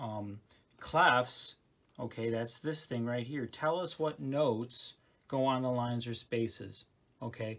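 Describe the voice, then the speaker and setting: This man has a medium pitch and a plain, everyday voice. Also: ordinary pitch variation, fairly slow pace. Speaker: school band teacher. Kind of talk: tutorial. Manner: casual, frequent okay fillers.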